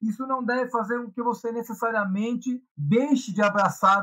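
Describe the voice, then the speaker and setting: A man's raised, projected voice, bright and sharp in tone, at a fairly slow pace. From Brazil, São Paulo. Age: 40s. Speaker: Hare Krishna devotee and punk. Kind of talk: casual interview.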